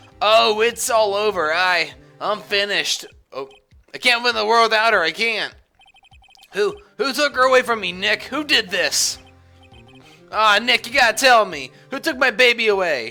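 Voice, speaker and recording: A put-on character voice, fairly high and drawling, moves at a moderate pace with long, frequent pauses. Faint music plays in the background. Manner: anguished, pleading, despairing.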